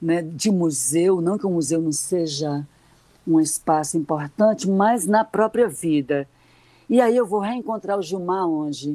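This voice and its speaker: Speaking at a fairly slow pace, a woman has a fairly low pitch, a dark, mellow tone and lively intonation. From Ceará sertão, Brazil. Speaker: retired literature professor and journalist. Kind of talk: radio interview. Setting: remote online call. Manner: hesitant, many fillers.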